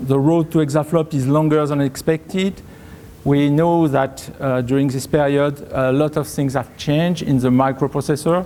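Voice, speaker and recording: A man speaks with a French accent in a dark, mellow tone at a fairly high pitch. His pace is moderate and his intonation fairly even. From France. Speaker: tech company presales leader. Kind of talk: conference talk. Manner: halting, many fillers.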